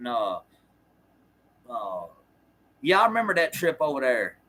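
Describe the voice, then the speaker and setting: A man is talking. His speech carries an American accent. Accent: Southern US accent, noticed by others. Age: 40s. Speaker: former prisoner and livestreamer. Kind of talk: casual livestream chat answering viewer comments. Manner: halting, many fillers and restarts.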